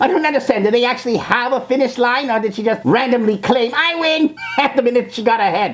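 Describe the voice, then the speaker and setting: A female-sounding, put-on character voice talks at a very fast pace with a fairly high pitch. Background noise is clearly heard. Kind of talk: reaction video commentary. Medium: role play. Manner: scornful, mocking.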